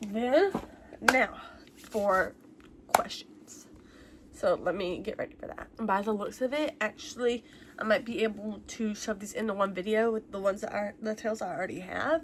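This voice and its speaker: A woman's fairly high voice at a moderate pace, with ordinary pitch variation, big swings in loudness and noticeable background noise. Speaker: YouTuber answering viewer questions. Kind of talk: casual Q&A vlog. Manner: casual, many fillers.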